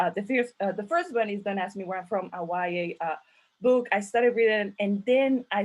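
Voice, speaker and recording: Speaking with a Mexican accent, a woman shows ordinary pitch variation. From Mexico. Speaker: author and event host. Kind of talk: virtual panel conversation. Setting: video call. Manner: halting, many fillers.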